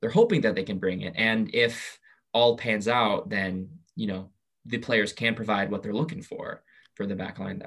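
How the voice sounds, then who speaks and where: Against a quiet background, a man with an American accent talks at a fairly slow pace in a fairly low pitch with ordinary pitch variation, a plain, everyday voice. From US Pacific Northwest (Southwest Washington). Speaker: soccer writer. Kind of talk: casual chat.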